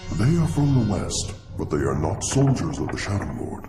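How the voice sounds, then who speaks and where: Doing a cartoonish character voice, a man with a fairly low pitch talks at a moderate pace with very wide pitch swings as faint music plays in the background. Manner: slow, solemn.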